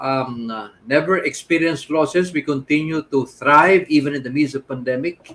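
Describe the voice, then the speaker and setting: The speaker has a plain, everyday voice. The pace is moderate and the pitch varies in an ordinary way. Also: man. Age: 60s. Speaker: business coach. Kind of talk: interview.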